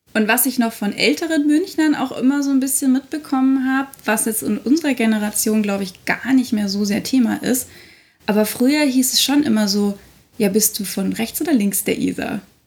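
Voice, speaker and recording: A woman talks at a moderate pace with a high pitch and ordinary pitch variation. Background noise is noticeable. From Munich, Bavaria (north-west). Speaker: podcast co-host. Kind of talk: casual chat. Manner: animated.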